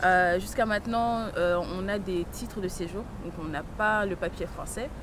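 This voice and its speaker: At a fairly slow pace, a woman with a medium pitch speaks in fairly even intonation, with noticeable background noise and audible room echo. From France (arrived as a young child). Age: 20s. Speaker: young immigrant woman, visitor at detention centre. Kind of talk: documentary interview. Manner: halting, many hesitations.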